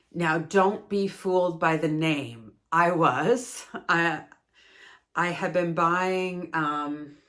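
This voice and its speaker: The speaker has a Canadian accent and talks at a very slow pace with ordinary pitch variation. The recording is very clean, with a silent background. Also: woman, fairly low pitch for a woman. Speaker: yarn crafting video creator. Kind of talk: casual product review monologue. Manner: chatty, with frequent fillers.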